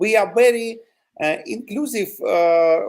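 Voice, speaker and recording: A man with a non-native accent talks at a very slow pace. His pitch is high and his intonation lively. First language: Ukrainian or Russian. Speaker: territorial defense volunteer. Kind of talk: interview. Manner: halting, many fillers.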